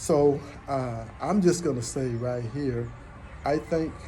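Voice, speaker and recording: A man with an American accent, audible room echo and music in the background. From United States. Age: 60s. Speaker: vlogger. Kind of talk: casual personal monologue. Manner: halting.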